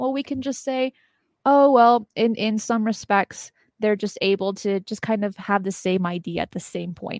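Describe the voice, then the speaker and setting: In a dry, close sound with no echo, a woman speaks at a moderate pace, her fairly high pitch showing ordinary variation. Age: 20s. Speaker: university student and UFO talk show host. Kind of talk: casual interview. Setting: video call.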